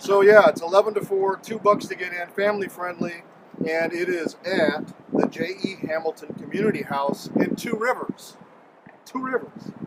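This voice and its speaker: Over noticeable background noise, a man with an American accent talks at a moderate pace with a high pitch and ordinary pitch variation. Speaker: local show host. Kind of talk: casual chat. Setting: outdoors. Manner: loud.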